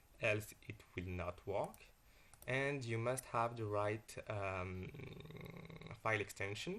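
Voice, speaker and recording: A man with a French accent, speaking at a very slow pace. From France. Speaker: software developer. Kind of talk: software tutorial.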